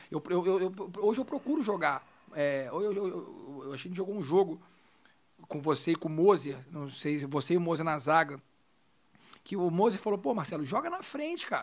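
A man with a Rio de Janeiro accent, high pitch, lively intonation, a moderate pace and long, frequent pauses. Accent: Carioca Brazilian Portuguese. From Rio de Janeiro, Brazil (born Minas Gerais). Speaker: former football goalkeeper, physiotherapist. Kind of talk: casual chat.

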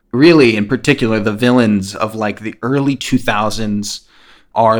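Intonation stays fairly even as a man talks at a medium pitch. It is a very clean recording, with a silent background. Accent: American. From rural New Jersey, US. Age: 20s. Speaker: coworker of host, comics company employee. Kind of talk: casual chat. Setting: reclining on a couch.

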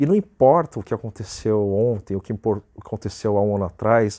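Against a quiet background, a man talks at a moderate pace in a dry, close sound with no echo. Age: 20s. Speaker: podcaster and YouTuber. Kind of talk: solo motivational monologue.

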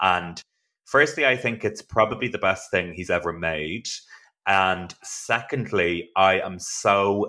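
On a very clean recording with a silent background, a man with an Irish accent speaks at a very slow pace in a very deep, low pitch, with a bright, sharp tone and ordinary pitch variation. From Ireland. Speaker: actor and playwright, podcast host. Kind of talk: casual chat.

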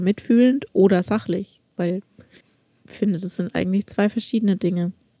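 The voice has a dark, mellow tone, somewhat breathy, at a moderate pace. The sound is dry and close with no echo. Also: woman. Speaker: podcast co-host. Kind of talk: casual chat.

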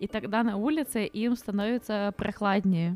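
In an unremarkable speaking voice, a woman talks at a moderate pace and fairly high pitch with ordinary pitch variation, in a dry, close sound with no echo. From Ukraine. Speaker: podcast co-host. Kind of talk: casual chat.

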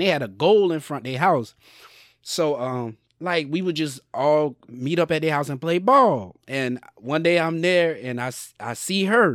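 In a very clean recording with a silent background, a man with a fairly high pitch talks at a fairly slow pace with lively intonation. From US South, Sumter, South Carolina. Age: 30s. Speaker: podcaster. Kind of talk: casual chat.

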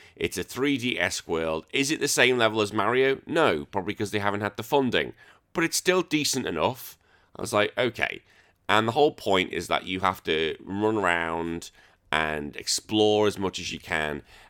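An animated man with an English accent and a bright, sharp tone speaks at a fairly low pitch with very wide pitch swings at a moderate pace, recorded dry and close with no echo in a very clean take with a silent background. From England. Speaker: retro gaming podcaster. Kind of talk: casual chat.

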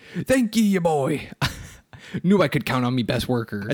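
A gruff, put-on character voice at a low-to-middle pitch and a moderate pace. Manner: gruff, pirate-like.

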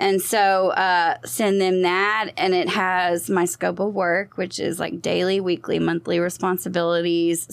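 Hardly any pauses break this speech, delivered with a Texan accent, fairly even intonation and very even loudness. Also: woman. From Southeast Texas, Beaumont. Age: 30s. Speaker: social media marketer and PR business owner. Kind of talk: casual interview chat.

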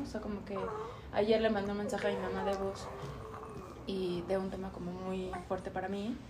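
Room echo is audible as a woman speaks with fairly even intonation. Noticeable background noise runs underneath. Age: 30s. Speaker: yoga teacher. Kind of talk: casual chat.

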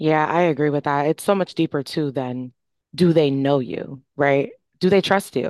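At a moderate pace, a woman with a very deep, low pitch and ordinary pitch variation speaks against a quiet background. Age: 20s. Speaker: youth justice advocate. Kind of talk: podcast interview.

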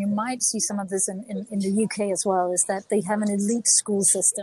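The voice has a dark, mellow tone, is somewhat breathy, and carries a Danish accent. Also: woman. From Denmark. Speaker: author and executive coach. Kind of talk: interview. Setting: remote call from a cafe.

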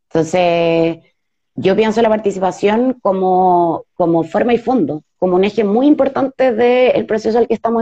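In a Chilean accent, a woman speaks at a medium pitch with ordinary pitch variation and a dark, mellow tone, the sound dry and close with no echo. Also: very even loudness. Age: 30s. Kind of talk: live interview. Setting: video live stream.

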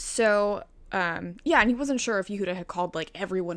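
A woman talks at a fairly quick pace with an American accent. The recording is very clean, with a silent background. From Chicago, US. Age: 20s. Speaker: true crime podcast co-host. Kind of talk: casual storytelling of a crime case.

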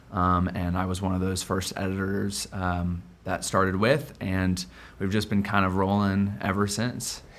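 Here is a man with a Midwestern American accent and a very deep, low pitch. He speaks at a fairly slow pace with fairly even intonation. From Quad Cities, US Midwest. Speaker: newsletter editor. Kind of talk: interview.

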